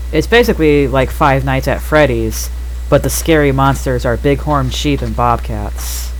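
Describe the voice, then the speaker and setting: Monotone, flat intonation at a moderate pace over noticeable background noise. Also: man, very deep, low pitch for a man. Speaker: gaming video creator. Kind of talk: gameplay commentary. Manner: whispering while focused.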